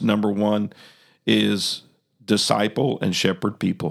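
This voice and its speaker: A man speaks at a fairly low pitch, with vocal fry throughout. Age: 60s. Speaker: podcast host. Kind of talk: casual chat.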